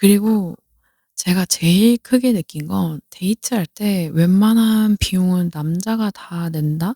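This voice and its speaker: In a dry, close recording with no echo, a woman speaks very slowly in a dark, mellow, somewhat breathy voice of medium pitch with ordinary pitch variation. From South Korea. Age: 30s. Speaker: podcaster. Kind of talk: casual chat.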